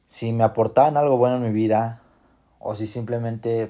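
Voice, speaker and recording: A man speaks with a Mexican accent at medium pitch and a fairly slow pace. His tone is dark and mellow, his intonation monotone and flat. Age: 20s. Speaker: podcast host. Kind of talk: motivational monologue.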